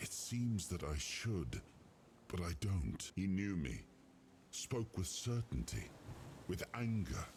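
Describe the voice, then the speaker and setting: A man uses a put-on character voice with a very deep, low pitch. He goes at a fairly slow pace with long, frequent pauses over clear background noise. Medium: video game. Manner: slow, contemplative.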